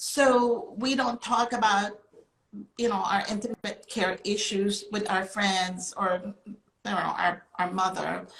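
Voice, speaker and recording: Very slow speech from a woman with a Filipino accent, medium pitch and fairly even intonation. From Philippines. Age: 60s. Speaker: company founder. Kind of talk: panel discussion.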